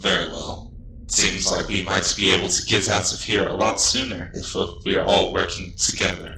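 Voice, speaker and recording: Clear background noise sits under a man's put-on character voice. He speaks at a moderate pace with a fairly low pitch. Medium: actual play. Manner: calm, reserved.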